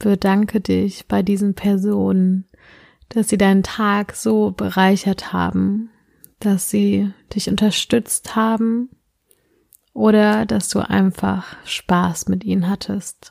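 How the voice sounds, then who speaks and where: A woman's gentle, calm voice at a very slow pace, very even in loudness, dry and close with no echo on a very clean recording with a silent background. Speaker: meditation guide. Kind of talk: guided meditation, sleep-inducing. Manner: slow, soft-spoken, soothing with long pauses; gentle, calm, hypnotic.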